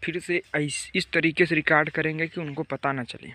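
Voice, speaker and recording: A man at a fairly slow pace with monotone, flat intonation, in a dry sound with no echo. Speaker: village vlogger filming his parents. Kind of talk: casual vlog chat, hushed narration. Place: open country. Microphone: phone near.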